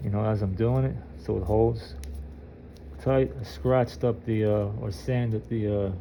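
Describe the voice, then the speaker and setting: A man's fairly low voice at a moderate pace, with very wide pitch swings and long, frequent pauses. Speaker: groundskeeper doing mower repair. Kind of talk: tutorial. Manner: halting with many fillers.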